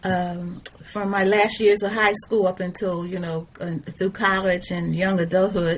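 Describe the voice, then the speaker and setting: Over noticeable background noise, a woman speaks at a fairly slow pace. Her intonation is monotone and flat. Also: medium pitch for a woman. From US, South Philadelphia. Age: 70s. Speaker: retired educator and activist. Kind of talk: interview conversation. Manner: halting, many fillers and restarts.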